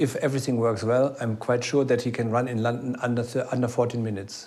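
Over audible room echo, a man speaks at medium pitch with monotone, flat intonation. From Germany. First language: German. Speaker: athletics coach. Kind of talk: interview.

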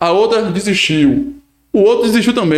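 A man speaks at a high pitch. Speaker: podcast co-host and municipal government official. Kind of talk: casual interview chat.

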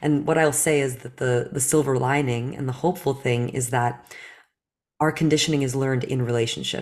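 In a very clean recording with a silent background, a woman speaks fairly quickly in a very deep, low pitch with fairly even intonation. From New Jersey, US (born in Belarus). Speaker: facilitator and company co-founder. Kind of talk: interview.

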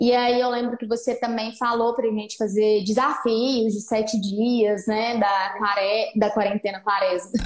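Fairly slow speech with hardly any pauses comes through noticeable background noise. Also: woman, fairly high pitch for a woman. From Minas Gerais, Brazil (Patos de Minas). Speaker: nutritionist. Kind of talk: interview on a live stream. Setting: online live stream. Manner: animated.

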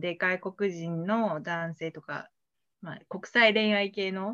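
Speaking at a fairly slow pace, a woman delivers her words in a bright, sharp tone. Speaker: podcast guest sharing dating experience. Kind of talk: casual interview. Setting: online live stream.

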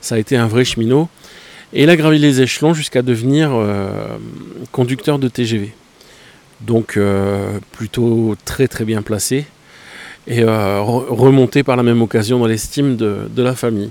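At a fairly slow pace, a man with a medium-pitched voice and ordinary pitch variation talks with long, frequent pauses. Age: 40s. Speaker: photography podcaster. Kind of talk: casual monologue. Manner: hesitant with many fillers.

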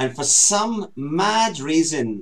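With a Scottish accent, a man speaks using very wide pitch swings. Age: 50s. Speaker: talk show co-host. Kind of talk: casual chat.

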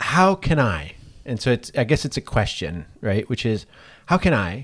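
The recording is very clean against a silent background. In it, a man talks at a fairly slow pace. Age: 50s. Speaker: university teacher. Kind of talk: casual chat. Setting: office.

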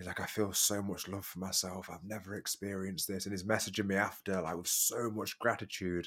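A man with a British accent, fairly low pitch and monotone, flat intonation at a fairly quick pace, on a very clean recording with a silent background. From UK. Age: 30s. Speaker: transformational coach. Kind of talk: casual chat.

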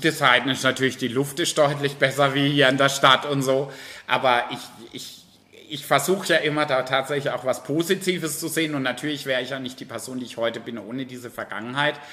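Fairly quick, fairly even speech with big swings in loudness over noticeable background noise. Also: man, fairly high pitch for a man. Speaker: drag queen entertainer. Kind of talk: interview. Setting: bar.

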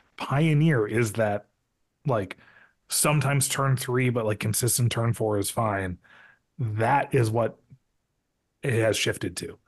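Against a quiet background, a man with an American accent speaks at a fairly slow pace, leaving long, frequent pauses. His medium-pitched voice is somewhat breathy, with ordinary pitch variation. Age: 30s. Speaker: podcast host. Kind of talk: casual chat.

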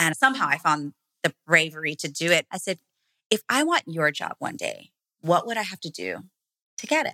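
In a dry, close sound with no echo, a woman with a fairly low pitch and a bright, sharp tone speaks in an animated way with lively intonation, big swings in loudness and long, frequent pauses. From Hawaii, small plantation town, Filipino-American family. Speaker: branding and marketing expert. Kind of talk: interview conversation.

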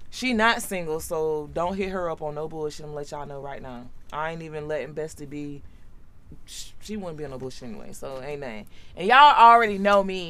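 A woman with a very deep, low pitch talks at a fairly quick pace. Her intonation is lively, with big swings in loudness. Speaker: podcast host. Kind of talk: casual chat. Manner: laughs often.

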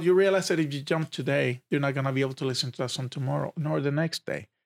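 A man talks very fast at a fairly high pitch with ordinary pitch variation, recorded very cleanly against a silent background with a dry, close sound and no echo. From Puerto Rico. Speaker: hostage negotiator. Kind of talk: interview.

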